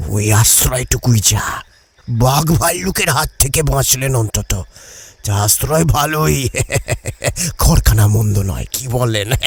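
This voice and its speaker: A man's put-on character voice at medium pitch. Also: moderate pace, lively intonation. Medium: audio drama. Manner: fast, questions tumbling over each other.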